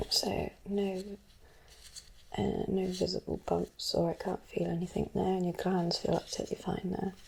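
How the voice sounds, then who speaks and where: A soft-spoken woman in a gentle tone, with long, frequent pauses and noticeable background noise. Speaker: ASMR creator playing a doctor. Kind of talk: ASMR medical roleplay, personal attention. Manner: soft-spoken, gentle.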